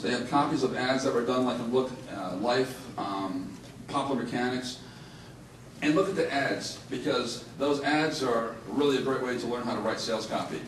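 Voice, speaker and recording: Amid audible room echo and noticeable background noise, a man speaks at medium pitch with ordinary pitch variation. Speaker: marketing seminar speaker. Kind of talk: live seminar talk. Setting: seminar room with live audience. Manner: fast.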